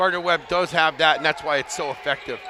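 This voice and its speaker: A man speaks in a high, monotone, flat voice over noticeable background noise. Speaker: color commentator, former coach. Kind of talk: sports broadcast color commentary.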